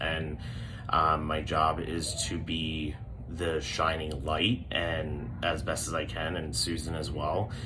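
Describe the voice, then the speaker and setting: A man speaks quietly in a very deep, low voice. Room echo can be heard around him. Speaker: dance studio owner. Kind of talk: appeal to parents. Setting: back office of studio. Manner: hesitant, many fillers.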